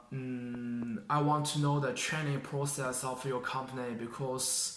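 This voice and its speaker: Speaking at a very slow pace with a Chinese accent, a man keeps a medium pitch and fairly even intonation amid audible room echo. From China. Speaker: job applicant, engineering graduate. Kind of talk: mock job interview. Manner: halting, many fillers and restarts.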